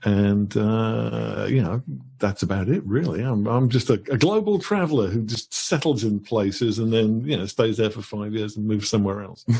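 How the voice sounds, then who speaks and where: Dark, mellow, fairly low-pitched speech from a man at a moderate pace with hardly any pauses, over a quiet background. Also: ordinary pitch variation. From England, Birmingham. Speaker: author. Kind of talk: interview. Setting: live stream.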